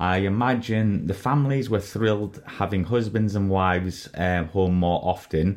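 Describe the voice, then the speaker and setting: A man with a British accent talks at a fairly low pitch, with ordinary pitch variation. Behind him the background stays quiet. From United Kingdom. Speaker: podcast host. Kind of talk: interview.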